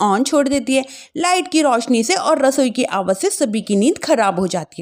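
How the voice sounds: A woman's high voice with big pitch swings at a moderate pace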